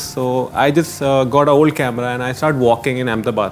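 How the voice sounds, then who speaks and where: A man at a medium pitch with fairly even intonation, over noticeable background noise. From Uttarakhand, India. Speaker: traveller. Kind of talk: casual chat. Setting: studio.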